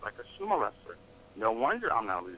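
Speech in an American accent moves fairly quickly, with noticeable background noise behind it. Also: man. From Atlanta, Georgia, US. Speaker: physician. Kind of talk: interview.

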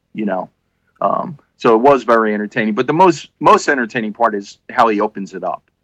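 An unremarkable speaking voice from a man at medium pitch, fairly quick in pace, with lively intonation and a dry, close sound with no echo. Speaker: podcast co-host. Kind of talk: casual chat. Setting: video call.

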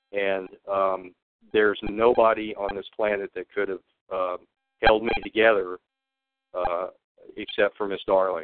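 A man with a Texan accent talks at a fairly slow pace and fairly low pitch. His intonation is monotone and flat, with long, frequent pauses. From Texas. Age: 60s. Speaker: whistleblower. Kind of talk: interview. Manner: halting.

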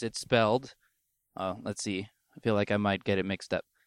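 Recorded very cleanly against a silent background, a man with a fairly low pitch sounds dry and close with no echo. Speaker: podcast host. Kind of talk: casual solo monologue while driving. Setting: in a car. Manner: rambling, halting with fillers.

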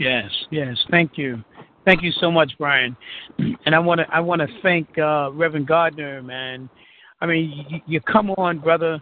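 A man's fairly high-pitched voice at a fairly slow pace. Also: ordinary pitch variation. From New York, Harlem. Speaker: radio talk show host. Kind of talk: call-in radio talk show. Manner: halting, many fillers.

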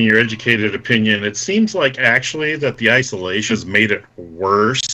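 A man in an American accent speaks at a moderate pace while noticeable background noise carries on. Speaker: radio panelist. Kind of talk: radio talk show.

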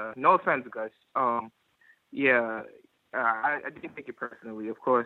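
A man with a normal speaking voice talks at a moderate pace with ordinary pitch variation. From Bronx, New York City. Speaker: caller. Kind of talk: call-in discussion. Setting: phone call.

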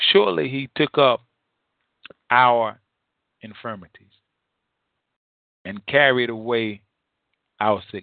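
In a dry, close sound with no echo, a man speaks at a fairly slow pace with vocal fry.

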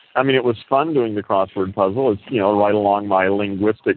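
A man with a fairly low pitch and ordinary pitch variation, at a fairly quick pace, over noticeable background noise. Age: 60s. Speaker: audio chat room host. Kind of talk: casual chat.

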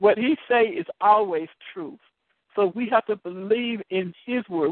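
A woman's medium-pitched voice, a plain, everyday voice. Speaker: deliverance evangelist hosting call-in sessions. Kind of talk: prayer and deliverance counseling session. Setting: phone call.

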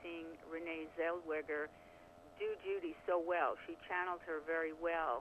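A woman with an American accent and a fairly low pitch speaks at a moderate pace in an unremarkable speaking voice. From New York. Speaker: film critic. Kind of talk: interview.

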